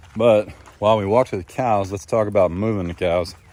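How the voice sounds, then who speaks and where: The speech moves at a moderate pace with ordinary pitch variation, over noticeable background noise. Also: man. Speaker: farmer and vlogger. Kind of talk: casual vlog talk.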